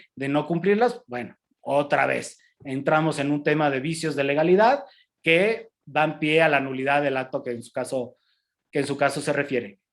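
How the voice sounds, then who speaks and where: Loudness swings widely throughout. Pitch varies in an ordinary way at a moderate pace. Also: man, fairly high pitch for a man. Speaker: customs lawyer lecturer. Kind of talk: lecture. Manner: halting, many repetitions and fillers.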